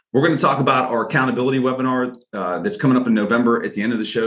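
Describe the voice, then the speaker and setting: Speaking at a very fast pace in a room with audible echo, the man has a medium pitch and ordinary pitch variation. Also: hardly any pauses. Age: 40s. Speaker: podcast co-host. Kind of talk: casual chat.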